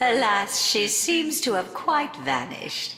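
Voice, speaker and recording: In a put-on character voice, the lines are delivered at a moderate pace. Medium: video game. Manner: arch, condescending.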